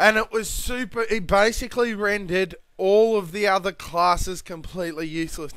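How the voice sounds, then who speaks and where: A man with an Australian accent speaks at a high pitch. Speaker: gamer. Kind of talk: gameplay commentary. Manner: casual, ranting.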